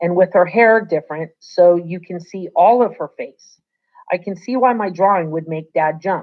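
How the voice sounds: The setting is quiet. Someone reads in a natural reading voice.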